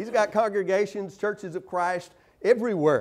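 A man's high-pitched voice at a moderate pace over a quiet background. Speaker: visiting preacher. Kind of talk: sermon. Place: church.

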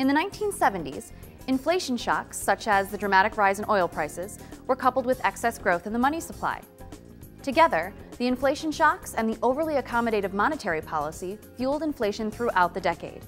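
Faint music plays in the background. Over it, a woman speaks at a fairly quick pace. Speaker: presenter. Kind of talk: lecture. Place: studio.

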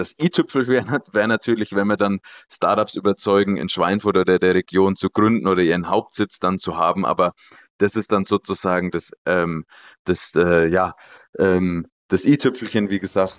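With fairly even intonation, an unremarkable speaking voice proceeds at a moderate pace. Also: man. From Lower Franconia, Germany. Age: 20s. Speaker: startup consultant and lecturer. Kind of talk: casual interview. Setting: video call.

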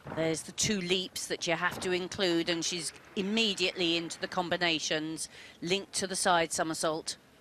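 A woman with a fairly low voice speaks at a moderate pace in a flat monotone. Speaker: gymnastics expert analyst. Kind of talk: sports commentary, technical expert analysis of beam routines. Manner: measured, precise, matter-of-fact, clipped technical explanations.

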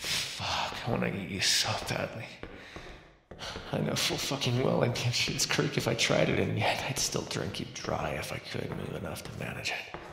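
Putting on a character voice, a man speaks at a moderate pace with fairly low pitch, big pitch swings, vocal fry and a bright, sharp tone, all in strong room echo.

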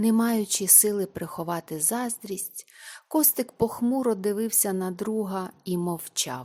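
Ordinary pitch variation in plain reading aloud

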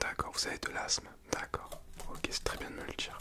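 A whispering man. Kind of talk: role-play consultation, soft ASMR-like talk. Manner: soft, hushed ASMR doctor voice. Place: home room. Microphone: phone near.

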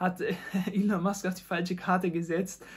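The man's voice sits high in pitch for a man, with monotone, flat intonation, in a very clean recording with a silent background. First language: Dari or Pashto (speaking German). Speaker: tech content creator, podcast host. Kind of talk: solo podcast monologue. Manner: halting, many fillers.

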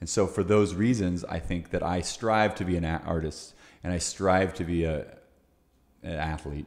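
Here a man speaks at a moderate pace in a very deep, low voice. His intonation stays fairly even against a quiet background. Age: 40s. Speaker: fitness coach and podcast host; fitness coach, podcast host. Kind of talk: interview conversation. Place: home room. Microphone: studio mic.

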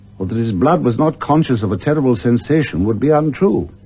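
A man speaks with music playing in the background. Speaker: actor. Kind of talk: classic radio story narration.

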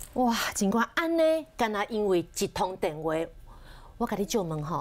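A woman speaks with a Taiwanese accent. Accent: Taiwanese Mandarin. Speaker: TV finance show host. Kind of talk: TV interview. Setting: TV studio. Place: studio.

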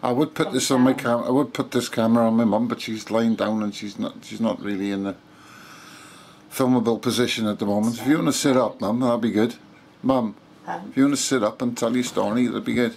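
A man speaks at a fairly quick pace with fairly even intonation. Light background noise sits underneath. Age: 50s. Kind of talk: casual talk to camera. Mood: earnest, calm. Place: home room. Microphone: phone near.

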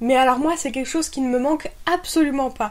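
A woman's high-pitched voice at a fairly quick pace. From France. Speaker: YouTuber; expat vlogger. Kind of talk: vlog monologue.

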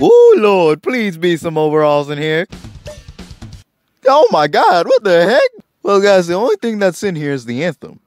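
A man puts on a drawling character voice, high-pitched with lively intonation, at a moderate pace. Faint music plays in the background. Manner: hammy, folksy drawl.

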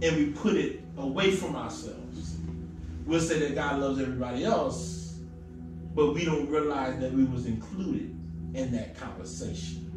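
Music plays in the background as a man speaks at a moderate pace, with audible room echo. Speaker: preacher. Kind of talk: sermon. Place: church.

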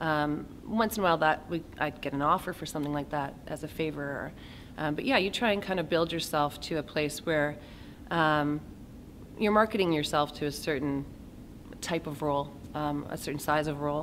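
A woman with a Canadian accent and a very deep, low voice talks at a moderate pace with ordinary pitch variation over light background noise. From Kamloops, British Columbia, Canada; British Columbia. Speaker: actor. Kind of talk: interview. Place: hall.

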